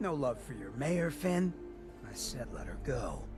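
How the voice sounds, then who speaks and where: Over loud background noise, a man uses a put-on character voice. His pace is moderate. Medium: video game. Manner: cool, streetwise, drawling.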